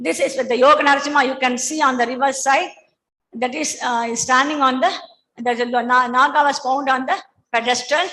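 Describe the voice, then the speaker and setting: Raised and projected, a woman's bright, sharp voice sits high in pitch, moving at a fairly quick pace with fairly even intonation. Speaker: academic presenter, historian. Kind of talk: conference presentation. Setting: convention centre session. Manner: fast; halting.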